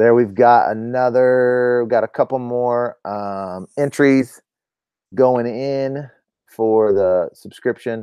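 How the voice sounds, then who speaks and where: Fairly even intonation marks this man's speech. His pitch stays at a medium level. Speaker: duck hunting channel host. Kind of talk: live stream chat. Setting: at home, live stream. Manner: fast.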